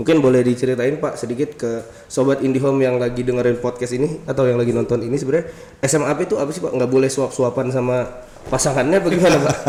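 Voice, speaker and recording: A man's very fast speech at a medium pitch. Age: 20s. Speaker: podcast host. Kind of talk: casual interview. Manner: animated.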